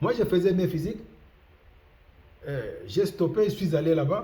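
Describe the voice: Big pitch swings run through a man's dark, mellow tone, with audible room echo around him. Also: fairly high pitch for a man, moderate pace.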